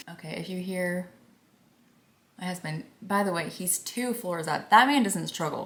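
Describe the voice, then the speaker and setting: Soft-spoken and at a moderate pace, a woman talks with a medium pitch, ordinary pitch variation, big swings in loudness, and long, frequent pauses. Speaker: beauty vlogger. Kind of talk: casual chat. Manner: quiet.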